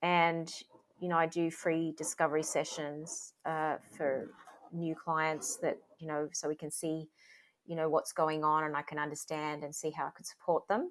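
Using an Australian accent, a woman with a very deep, low pitch speaks at a moderate pace in a monotone, flat intonation with big swings in loudness. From Sydney, Australia. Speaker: parenting coach. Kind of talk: interview.

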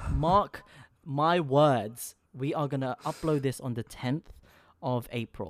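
The speech comes at a very slow pace on a very clean recording with a silent background. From Philippines. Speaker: podcast co-host. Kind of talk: casual chat. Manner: halting.

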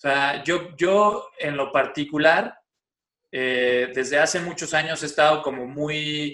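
A man with a bright, sharp tone and a fairly high pitch speaks at a very slow pace with fairly even intonation and big swings in loudness. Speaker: film studies teacher and guest storyteller. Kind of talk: casual narrative storytelling.

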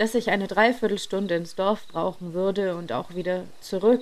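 Here an unforced reading voice is heard.

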